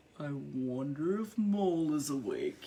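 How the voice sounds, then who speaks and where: A put-on character voice at middle pitch moves along at a fairly slow pace. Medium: read story. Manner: gentle, sleepy.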